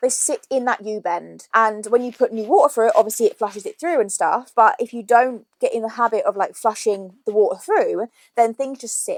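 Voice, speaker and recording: In an English accent, a woman talks at a fairly quick pace with hardly any pauses and big swings in loudness, the sound dry and close with no echo. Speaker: YouTuber. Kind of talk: shopping haul vlog. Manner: casual, chatty.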